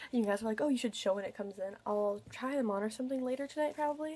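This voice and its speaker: A woman talks at a very fast pace with ordinary pitch variation. Her tone is dark and mellow. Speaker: vlogger. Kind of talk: casual vlog chat. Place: home room. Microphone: webcam.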